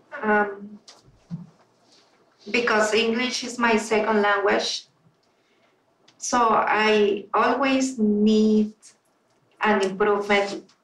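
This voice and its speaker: The speech comes in a Spanish accent at a very slow pace. Intonation is monotone and flat, with long, frequent pauses. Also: woman, fairly high pitch for a woman. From Peru. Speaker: toastmasters club member. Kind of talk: panel q&a.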